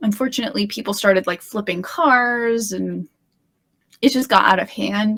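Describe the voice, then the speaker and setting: A woman with a Midwestern accent speaks at a moderate pace. Her voice is fairly high and somewhat breathy. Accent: General American (Midwest). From US Midwest, Illinois. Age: 30s. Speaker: guest. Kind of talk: casual chat.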